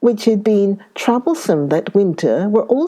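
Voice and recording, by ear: The intonation moves in a lively way. A natural voice reads the words aloud.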